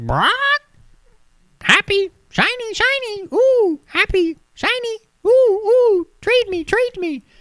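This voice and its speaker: An extremely high-pitched, put-on character voice at a very slow pace, with long, frequent pauses. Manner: squawky, repetitive.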